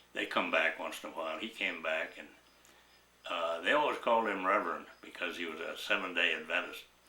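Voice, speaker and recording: This man has an American accent and talks at a fairly quick pace. Audible room echo is present. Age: 90s. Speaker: war veteran. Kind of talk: oral history interview. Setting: at home. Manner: halting.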